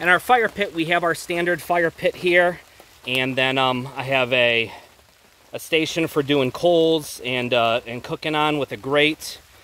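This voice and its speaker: Speaking at a fairly slow pace, a man uses ordinary pitch variation in a dry recording with no echo. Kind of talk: casual walk-through tour. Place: forest. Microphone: phone near.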